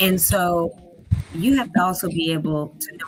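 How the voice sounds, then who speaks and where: Background noise is noticeable here. Through it, a woman talks at a fairly low pitch. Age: 60s. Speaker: talk show co-host. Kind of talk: interview.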